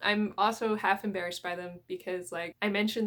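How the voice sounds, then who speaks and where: In a Canadian accent, a woman with an unremarkable speaking voice talks at a fairly quick pace, her medium pitch held to fairly even intonation. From Canadian prairies. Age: 20s. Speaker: manga YouTuber. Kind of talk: casual vlog talk.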